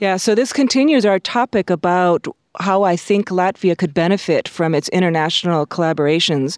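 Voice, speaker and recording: A woman with an ordinary speaking voice, medium pitch and ordinary pitch variation, at a fairly quick pace with very even loudness and a dry, close sound with no echo. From Hawaii and California, US. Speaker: planetary scientist. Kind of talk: interview. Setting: studio.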